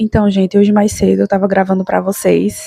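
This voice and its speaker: A woman at medium pitch and moderate pace, with music in the background. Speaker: YouTuber, mother giving daily reflections. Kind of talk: casual vlog talk to viewers. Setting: at home, recording at night.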